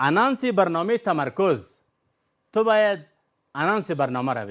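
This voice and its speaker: A man's voice with very wide pitch swings at a moderate pace, on a very clean recording with a silent background. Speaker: quiz show host. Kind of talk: game show hosting. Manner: animated.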